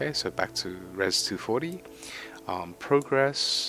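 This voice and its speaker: Music behind a man talking somewhat slowly. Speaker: gaming content creator. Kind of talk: casual game commentary. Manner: quiet.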